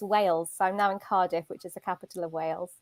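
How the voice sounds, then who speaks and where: With a British accent, a woman is heard in a very clean recording with a silent background. The sound is dry and close, with no echo. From southern England, near Brighton. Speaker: career coach. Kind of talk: interview. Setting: live video stream.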